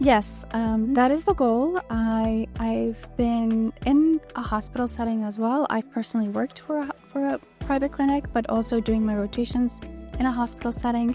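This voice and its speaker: Over music in the background, someone with a non-native accent speaks at a moderate pace with fairly even intonation. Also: woman, fairly high pitch for a woman. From Bulgaria. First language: not English. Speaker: medical student. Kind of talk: interview answer.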